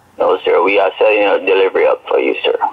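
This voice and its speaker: A man speaks at a very fast pace in an extremely high pitch, his intonation fairly even. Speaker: phone scammer. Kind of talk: scam phone call. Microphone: phone line.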